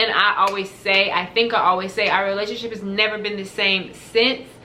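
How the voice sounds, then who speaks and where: Over noticeable background noise and audible room echo, a woman speaks in a fairly high pitch with monotone, flat intonation. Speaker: lifestyle vlogger. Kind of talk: casual talk to camera. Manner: fast.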